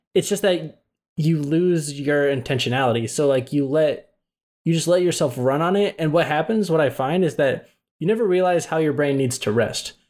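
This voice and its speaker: Heard in a very clean recording with a silent background, a man has an unremarkable speaking voice, fairly high in pitch and very even in loudness. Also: ordinary pitch variation, moderate pace. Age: 20s. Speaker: podcast co-host. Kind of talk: casual chat.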